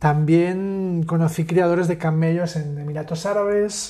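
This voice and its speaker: This man has a high pitch and a dark, mellow tone. His delivery is monotone, with flat intonation. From Catalonia. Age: 30s. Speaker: podcast host, architect. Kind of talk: casual chat.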